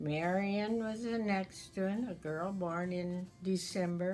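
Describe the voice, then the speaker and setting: Over music in the background, a woman talks at a very slow pace. Her pitch is medium and her intonation fairly even. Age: 80s+. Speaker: community elder sharing memories. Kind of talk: oral history interview.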